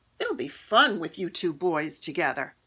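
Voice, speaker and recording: Using a put-on character voice, a woman growls at a fairly low pitch with lively intonation. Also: moderate pace. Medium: read story.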